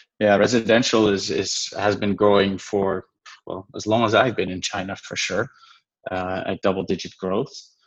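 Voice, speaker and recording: A man's fairly low voice moves at a moderate pace. The intonation stays monotone and flat. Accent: Dutch. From Netherlands. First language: Dutch. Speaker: venture investor. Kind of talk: interview.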